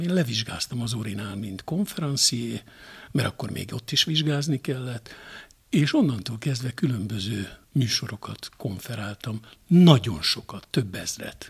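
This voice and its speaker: With lively intonation, a man speaks in a somewhat breathy voice. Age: 60s. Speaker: television journalist. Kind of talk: interview. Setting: at guest's home.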